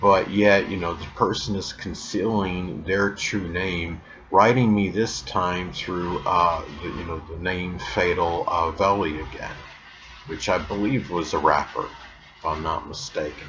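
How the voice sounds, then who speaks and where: A man with a very deep, low pitch speaks at a fairly slow pace with ordinary pitch variation. Audible room echo surrounds him, and music plays in the background. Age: 50s. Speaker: YouTube astrology channel host. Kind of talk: casual monologue vlog. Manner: hesitant, many fillers.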